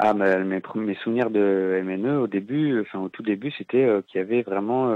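A man speaks in a fairly low voice at a fairly slow pace. His intonation stays fairly even. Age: 20s. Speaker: former community radio project manager. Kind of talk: interview. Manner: hesitant, many fillers.

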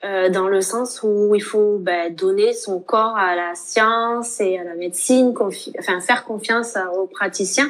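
Fairly even intonation carries speech that unfolds at a very slow pace. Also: woman, medium pitch for a woman. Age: 20s. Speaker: nurse and author. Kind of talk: interview testimony.

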